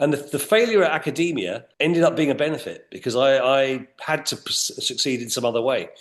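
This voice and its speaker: Lively intonation from a man at a fairly high pitch. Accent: English. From England. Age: 60s. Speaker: retail executive. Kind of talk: interview.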